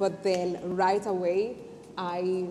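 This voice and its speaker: With a non-native accent, a woman speaks at a medium pitch over noticeable background noise and audible room echo. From not Jamaica. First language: not English. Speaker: entrepreneur. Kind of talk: interview testimony. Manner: halting.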